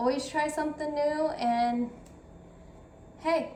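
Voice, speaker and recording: With audible room echo around her, a woman speaks at a high pitch in a monotone with flat intonation. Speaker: cooking vlogger. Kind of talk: cooking tutorial. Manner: casual, chatty.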